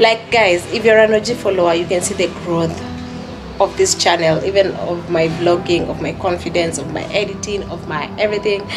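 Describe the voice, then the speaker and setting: The pitch rises and falls in an ordinary way. Music plays clearly in the background. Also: woman. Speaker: vlogger. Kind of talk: casual vlog chat. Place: home room. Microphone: phone near.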